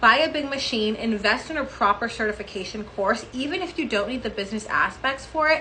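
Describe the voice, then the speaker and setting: A woman talks at a fairly quick pace with a high pitch and lively intonation. The room echoes audibly, and background noise is noticeable. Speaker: beauty clinic owner and body sculpting educator. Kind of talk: tutorial. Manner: fast.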